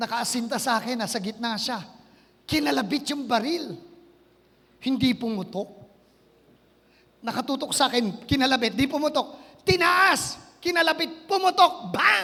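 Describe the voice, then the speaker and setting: The delivery is animated and fairly slow. Long pauses come often. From Philippines, Quezon province. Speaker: pastor. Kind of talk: sermon.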